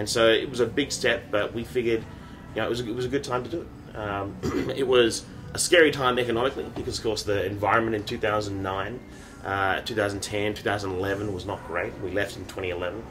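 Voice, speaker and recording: A man with an Australian accent speaks very fast at a fairly low pitch. The room echo is audible, and music plays in the background. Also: ordinary pitch variation. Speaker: startup founder and CEO. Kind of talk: interview.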